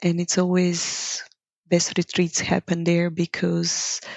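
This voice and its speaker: The speaker is a woman. She talks in a Bulgarian accent. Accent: Bulgarian accent, noticeable. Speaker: yoga teacher. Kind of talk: podcast interview. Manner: reflective, with hesitations.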